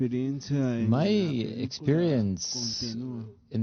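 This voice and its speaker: Lively intonation from a man at medium pitch, with audible room echo. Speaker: voice actor. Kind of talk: press conference. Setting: press conference with audience.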